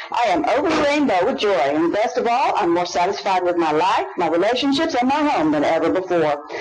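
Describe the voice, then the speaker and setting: A man's high-pitched voice at a fairly quick pace with hardly any pauses, very wide pitch swings and very even loudness, over noticeable background noise. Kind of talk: infomercial parody. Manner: breathless, gushing hard-sell pitch, frantic and gleeful, breaking into giggles.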